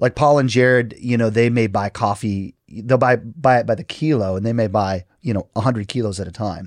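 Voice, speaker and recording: With hardly any pauses, a man with an ordinary speaking voice talks at a fairly quick pace in a medium pitch, ordinary pitch variation, and a dry, close sound with no echo. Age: 40s. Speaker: pastor. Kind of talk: casual chat.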